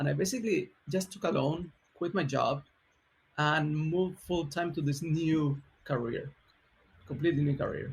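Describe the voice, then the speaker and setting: Fairly high-pitched, a man speaks with a Chilean accent at a moderate pace. His loudness stays very even, and his pitch varies in an ordinary way. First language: Spanish. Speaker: software engineering leader. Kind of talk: podcast interview.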